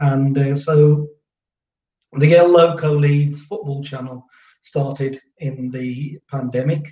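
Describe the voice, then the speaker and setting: This man has an English Midlands accent and a fairly high pitch, with a dark, mellow tone. He talks at a very slow pace and sounds somewhat breathy. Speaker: football fan channel host, musician. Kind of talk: casual chat.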